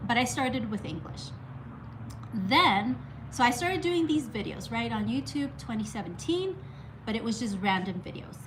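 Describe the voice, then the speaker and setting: Speaking at a moderate pace with long, frequent pauses, a woman is heard amid audible room echo and noticeable background noise. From Mexico. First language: Spanish. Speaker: art YouTuber. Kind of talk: casual story time monologue. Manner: halting, many restarts.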